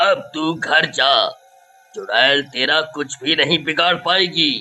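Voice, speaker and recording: Doing a put-on character voice, a man talks very slowly in a high pitch with ordinary pitch variation. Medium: audio drama. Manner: stern, commanding.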